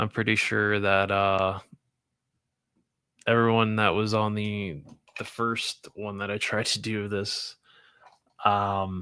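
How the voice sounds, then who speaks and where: A man speaks loudly at a very slow pace, with a fairly low pitch, a bright, sharp tone and flat, monotone intonation. Long, frequent pauses break up his speech in a very clean recording with a silent background. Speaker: toy collecting streamer. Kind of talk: casual livestream chat. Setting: live stream.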